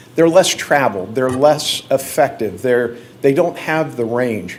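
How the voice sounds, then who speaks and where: A man talks fairly slowly with lively intonation while noticeable background noise plays. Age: 60s. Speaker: hunter giving a presentation at a county board meeting. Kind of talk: public presentation. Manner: casual, conversational.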